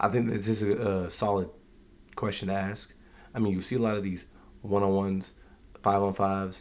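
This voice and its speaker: Quiet and very fast, a man speaks in a fairly low pitch with monotone, flat intonation. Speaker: YouTube sports commentator. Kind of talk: casual reaction commentary. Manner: quiet, keeping voice down.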